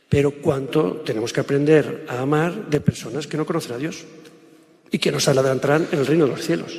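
The speaker moves at a fairly quick pace with ordinary pitch variation. Noticeable background noise runs under the voice. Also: man, fairly high pitch for a man. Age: 50s. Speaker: public speaker. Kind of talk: lecture. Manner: halting.

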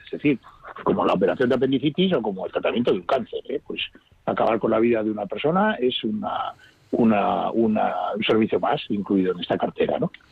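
Medium male pitch with very wide swings, a man at a fairly quick pace. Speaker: palliative care doctor. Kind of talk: radio interview.

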